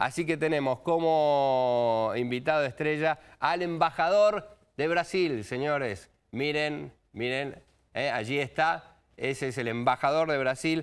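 At a very slow pace, a fairly high-pitched man speaks with ordinary pitch variation over a quiet background. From Argentina. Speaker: TV news host. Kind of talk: TV news talk show. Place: studio.

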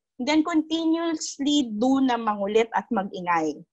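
Against a quiet background, a woman talks at a moderate pace, somewhat breathy, with lively intonation. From Philippines. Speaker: legislative officer; panelist. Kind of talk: panel discussion. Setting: video call. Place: home room. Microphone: earbuds.

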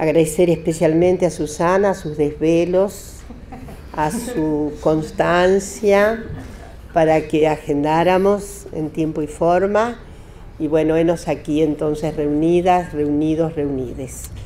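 A very slow pace over light background noise. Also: woman, very deep, low pitch for a woman, fairly even intonation. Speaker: speaker. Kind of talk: lecture. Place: meeting room. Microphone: podium.

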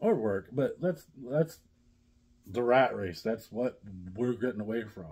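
In a dark, mellow tone, a man speaks at a fairly slow pace. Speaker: vlogger. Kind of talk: casual vlog chat. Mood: relaxed, hopeful. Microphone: phone near.

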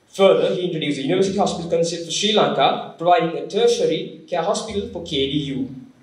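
In a quiet background with audible room echo, a man with a high pitch talks at a very fast pace. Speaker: speaker. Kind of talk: formal speaker introduction. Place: hall. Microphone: podium.

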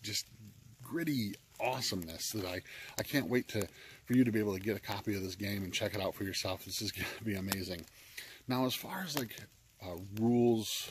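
Somewhat breathy, a man speaks with a fairly low pitch. The sound is dry with no echo, with light background noise. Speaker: game reviewer. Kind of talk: casual vlog chat. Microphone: phone near.

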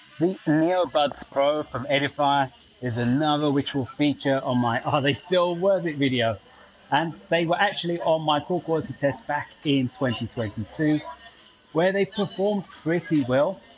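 A man's voice at a moderate pace with ordinary pitch variation, over light background noise. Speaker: tech reviewer. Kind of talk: product commentary. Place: cafe. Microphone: earbuds.

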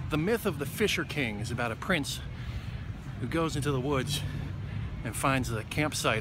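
At a moderate pace and with ordinary pitch variation, a man speaks in a dry sound with no echo against noticeable background noise. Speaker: vlogger. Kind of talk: casual vlog chat. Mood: wry, reflective. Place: garden. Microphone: phone near.

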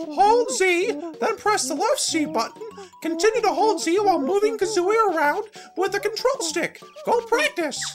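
A man's put-on character voice at a moderate pace over clear music in the background. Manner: helpful, instructive, excited.

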